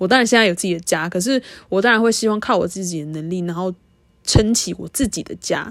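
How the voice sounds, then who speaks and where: This woman uses an ordinary speaking voice at a medium pitch. She talks fairly quickly with ordinary pitch variation. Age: 20s. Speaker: podcast host. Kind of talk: casual monologue.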